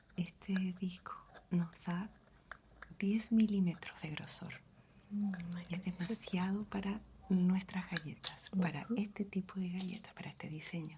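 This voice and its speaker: A woman at a medium pitch, flat and monotone, fairly slow, with long, frequent pauses. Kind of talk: ASMR roleplay.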